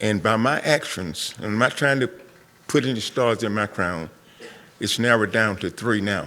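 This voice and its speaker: With a North Carolina accent, a man speaks at a moderate pace in a fairly low pitch, with ordinary pitch variation. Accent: Southern US, North Carolina. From US South. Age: 70s. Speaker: community member, Vietnam veteran. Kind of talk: public forum comment. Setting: school forum with audience.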